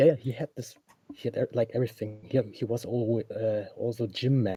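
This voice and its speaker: A man speaks with a German accent in a dark, mellow tone that is somewhat breathy, with fairly even intonation. The sound is dry and close, with no echo. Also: medium pitch for a man, fairly quick pace. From Germany. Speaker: caller. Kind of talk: casual chat. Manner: halting.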